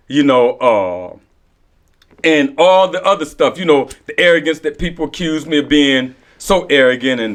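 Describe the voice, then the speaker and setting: Pitched fairly high, a man talks at a moderate pace with lively intonation. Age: 50s. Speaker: recovery podcast co-host. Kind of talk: casual group discussion. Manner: repetitive, halting with filler phrases.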